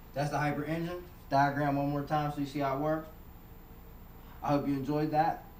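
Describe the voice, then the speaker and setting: The man's fairly high voice is flat and monotone, moving at a fairly quick pace. Long pauses come often, and room echo is audible. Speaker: synth tutorial maker. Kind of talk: tutorial. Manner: fast.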